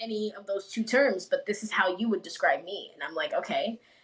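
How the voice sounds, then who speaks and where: A woman rattles along at a very fast pace while noticeable background noise plays behind her. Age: young. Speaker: filmmaker. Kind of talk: interview answer.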